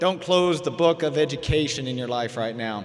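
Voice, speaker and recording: A man with an American accent speaks while noticeable noise fills the background. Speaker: emergency management director, award recipient. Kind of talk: commencement speech. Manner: fast.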